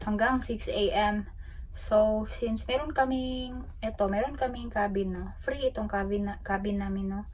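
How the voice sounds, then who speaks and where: Room echo can be heard in this clip. The woman speaking keeps a fairly slow pace. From Philippines. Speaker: travel vlogger. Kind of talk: casual vlog talk. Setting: ship cabin. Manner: loud.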